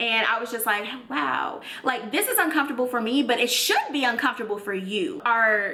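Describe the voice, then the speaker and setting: Lively intonation and an American accent come through with noticeable background noise and audible room echo. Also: woman, high pitch for a woman, fairly quick pace. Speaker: YouTuber. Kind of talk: storytime. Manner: loud; animated.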